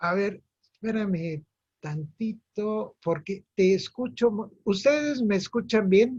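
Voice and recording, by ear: Speaking slowly in a high pitch, a man has a slightly mellow tone, a slightly husky edge and ordinary pitch variation.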